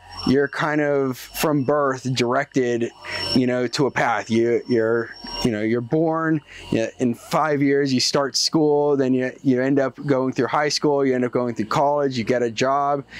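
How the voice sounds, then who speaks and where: A man with an American accent speaks at a fairly slow pace in a medium pitch, his intonation fairly even and his loudness very even. Noticeable background noise runs underneath. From Seattle, Washington. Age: 30s. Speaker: mechanical engineer. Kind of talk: interview answer.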